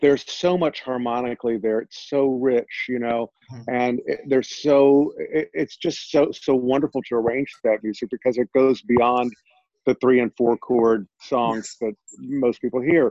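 This man has an ordinary speaking voice at medium pitch, with an American accent, fairly even intonation, a moderate pace, and a dry, close sound with no echo. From Texas (Sugar Land, near Houston). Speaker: jazz pianist and singer. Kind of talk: interview.

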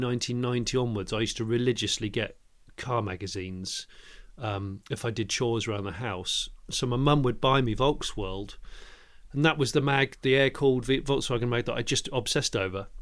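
A man with a medium-pitched voice speaks at a fairly quick pace with ordinary pitch variation, in a very clean recording with a silent background. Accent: English. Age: 40s. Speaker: motoring journalist and presenter. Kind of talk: podcast interview. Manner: halting, many repeated words.

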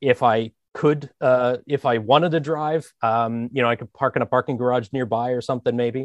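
In an American accent, a man with an unremarkable speaking voice talks at a moderate pace with fairly even intonation, the sound dry and close with no echo and the background quiet. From US, Philadelphia area. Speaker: user experience designer. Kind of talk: interview.

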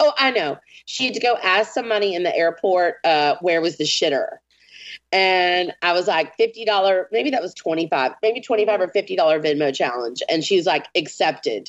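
A woman's medium pitch and lively intonation at a fairly slow pace. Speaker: artist. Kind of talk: pep talk, motivational and profane. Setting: remote call. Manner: animated, emphatic, profane.

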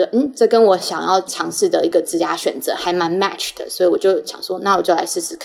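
A woman speaks fairly quickly, with noticeable background noise around her. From Taiwan. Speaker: pharma business analytics manager. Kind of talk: interview.

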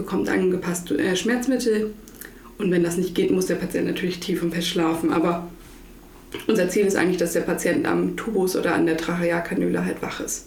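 A woman's fairly low pitch and fairly even intonation at a fairly quick pace, with noticeable background noise and audible room echo. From northern Germany, Lower Saxony coast (Butjadingen). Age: 20s. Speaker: intensive care nurse. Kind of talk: casual interview.

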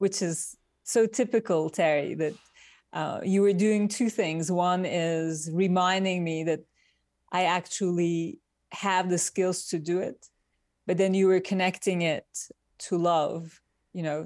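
Her Turkish accent comes through at a medium pitch with fairly even intonation. The woman talks at a fairly slow pace with long, frequent pauses. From Turkey. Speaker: industrial designer. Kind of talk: interview. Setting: remote call from Midtown New York.

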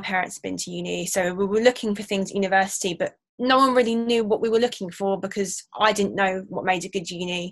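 Ordinary pitch variation marks this fairly quick speaker with an English accent. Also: woman. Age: 20s. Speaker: university student. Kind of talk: interview.

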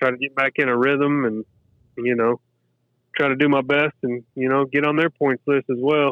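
A man speaks in a monotone with flat intonation. His pitch is medium and his pace is moderate. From Kentucky, Lexington. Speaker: professional golfer. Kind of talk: interview. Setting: phone call.

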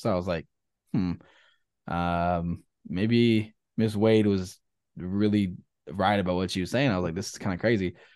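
A man with a Texan accent at a moderate pace, over a quiet background. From Texas, near Austin. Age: 20s. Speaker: musician. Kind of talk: casual interview, faith testimony.

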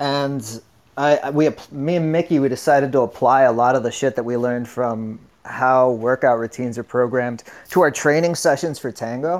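A man with a plain, everyday voice, medium pitch, ordinary pitch variation and a fairly quick pace. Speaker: caller. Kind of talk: casual chat. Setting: video call.

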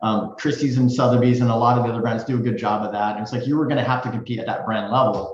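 Medium-pitched man with an American accent and fairly even intonation, with audible room echo. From US West Coast (Silicon Valley). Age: 50s. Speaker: real estate executive. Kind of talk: interview.

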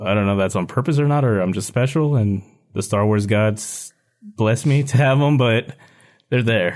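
An unremarkable speaking voice from a man, medium in pitch with ordinary variation, at a moderate pace against a quiet background. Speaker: podcast host. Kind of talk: casual chat.

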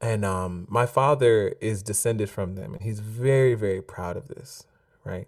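A man talks at a moderate pace and fairly low pitch, with ordinary pitch variation and big swings in loudness, in a plain, everyday voice. The recording is very clean, with a silent background. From US, Jamaican immigrant family. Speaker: author and singer-songwriter. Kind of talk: casual interview chat.

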